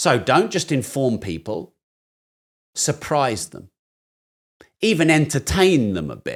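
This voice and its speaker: A man's fairly high voice with vocal fry, very wide pitch swings and big swings in loudness, at a very slow pace with long, frequent pauses. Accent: British. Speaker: business and finance educator. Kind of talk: podcast conversation.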